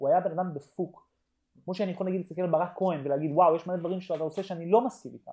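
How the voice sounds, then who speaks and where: A man's fairly high voice with a dark, mellow tone. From Tel Aviv, Israel. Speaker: podcast co-host. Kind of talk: casual chat. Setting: remote desert location. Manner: animated, stammering repetitions.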